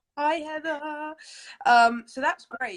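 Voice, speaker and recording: This is a woman's voice. She speaks with a London accent. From England, London. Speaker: interview host. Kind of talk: interview.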